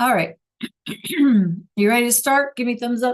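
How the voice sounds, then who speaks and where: This woman speaks at a fairly high pitch. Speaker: Spanish teacher. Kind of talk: online class lesson. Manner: casual, with many fillers.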